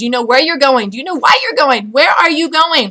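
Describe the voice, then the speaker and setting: A woman's raised, projected voice at high pitch, very fast pace, ordinary pitch variation, and noticeable background noise. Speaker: sales director for a cosmetics direct-sales team. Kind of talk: motivational video message to team. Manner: animated.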